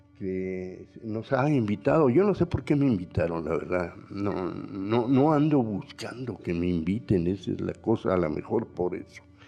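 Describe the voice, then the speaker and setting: A man with a fairly low voice talks at a fairly slow pace with hardly any pauses and lively intonation, with music playing in the background. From northern Mexico, Coahuila. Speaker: painter and muralist. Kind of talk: panel talk. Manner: halting, with many fillers.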